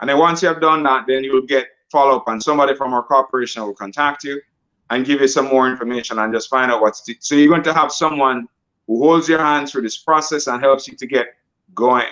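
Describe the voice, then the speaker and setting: A man's bright, sharp voice at a fairly high pitch, very fast pace and fairly even intonation. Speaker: financial coach. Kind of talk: sales pitch.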